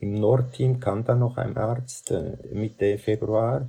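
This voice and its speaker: Speaking at a very slow pace, a man with a medium pitch and a dark, mellow, somewhat breathy tone keeps his intonation fairly even. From Central Switzerland. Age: 70s. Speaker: doctor. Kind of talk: interview. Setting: video call.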